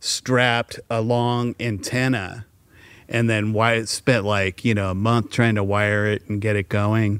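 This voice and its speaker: A man with an American accent speaks fairly slowly at a fairly low pitch, in an unremarkable speaking voice. The recording is very clean, with a silent background. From San Francisco Bay Area, US. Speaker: songwriter and producer. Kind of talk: casual interview chat.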